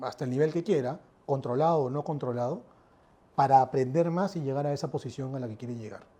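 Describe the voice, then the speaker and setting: A man speaks very fast in a fairly high pitch, his tone dark and mellow, with ordinary pitch variation. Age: 40s. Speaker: airport company executive. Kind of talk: interview.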